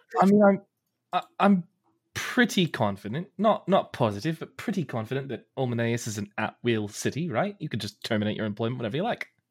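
Very fast, somewhat breathy speech from a man at a medium pitch, with very wide pitch swings. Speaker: player in tabletop roleplaying game. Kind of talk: casual banter around a tabletop roleplaying game.

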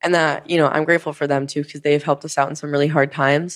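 The background is silent and the recording very clean. A woman talks in an American accent. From rural suburban area, US. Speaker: podcast host, social media influencer. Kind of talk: casual monologue. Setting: home studio, filmed on camera. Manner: animated.

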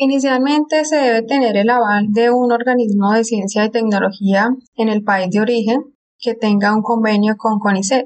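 Using a plain, everyday voice, a woman speaks at a moderate pace with a fairly high pitch, fairly even intonation and very even loudness. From Colombia. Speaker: geologist. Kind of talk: interview.

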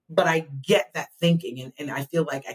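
A woman with an American accent sounds somewhat breathy, recorded dry and close with no echo. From New Jersey, near Philadelphia. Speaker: special education advocate. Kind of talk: interview.

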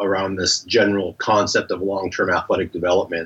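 With flat, monotone intonation, a man talks at a fairly low pitch. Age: 50s. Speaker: youth sports scientist and strength coach. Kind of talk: interview.

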